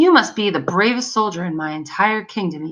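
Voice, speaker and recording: A female-sounding voice does a put-on character voice at medium pitch and a fairly quick pace. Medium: read story.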